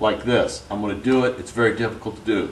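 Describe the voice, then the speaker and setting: Noticeable background noise behind a man's voice at a moderate pace. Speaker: holster maker demonstrating product. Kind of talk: tutorial. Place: workshop. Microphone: camera far.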